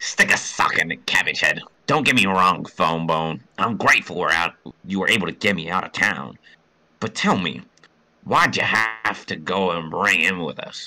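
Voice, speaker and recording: A man puts on a character voice, pitched very deep and low. He speaks at a moderate pace. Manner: nerdy, annoying.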